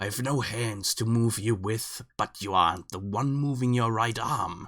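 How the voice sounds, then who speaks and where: A man puts on a raspy character voice at a medium pitch. He speaks at a fairly slow pace on a very clean recording with a silent background. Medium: read story. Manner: mocking, disdainful.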